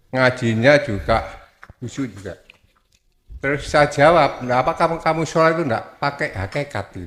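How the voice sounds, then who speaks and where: A man with a normal speaking voice talks at a moderate pace in a fairly high pitch. His pitch variation is ordinary, while his loudness swings widely. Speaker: congregant asking question. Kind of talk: question to preacher. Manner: polite, deferential.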